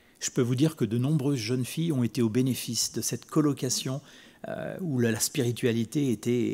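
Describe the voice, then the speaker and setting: His voice sits at a medium pitch with a dark, mellow tone and a fairly quick pace. The recording of this man is very clean, with a silent background. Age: 60s. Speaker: preacher. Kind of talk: sermon. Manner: halting, with repetitions.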